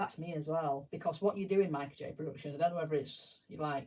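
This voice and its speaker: The speaker talks at a fairly quick pace. The accent is Yorkshire. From South Yorkshire, England. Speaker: live streamer building Lego sets. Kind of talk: casual live-stream chat. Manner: chatty, self-interrupting.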